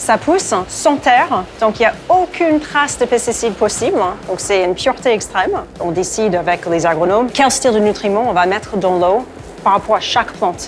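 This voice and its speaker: A woman with an English accent, fairly high in pitch, at a moderate pace, with very wide pitch swings and music in the background. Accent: English-speaking accent in French. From English-speaking country. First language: English (speaking French). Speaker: skincare brand founder. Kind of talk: interview.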